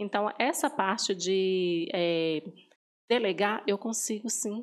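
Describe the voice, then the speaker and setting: A woman's lively intonation on a very clean recording with a silent background. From northern Minas Gerais, Brazil. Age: 30s. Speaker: pastry shop owner. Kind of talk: interview testimony.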